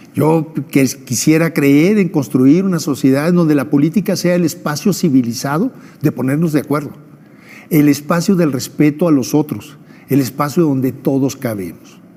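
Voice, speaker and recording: Noticeable background noise sits under a man's voice. He speaks at a fairly high pitch and a moderate pace. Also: ordinary pitch variation. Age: 60s. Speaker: former election official. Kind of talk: TV interview.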